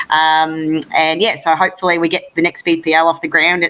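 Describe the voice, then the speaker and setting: An Australian accent marks this woman's bright, sharp tone as she speaks at a fairly quick pace. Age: 30s. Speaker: lawn bowls player and broadcast host. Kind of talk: interview. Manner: fast; animated.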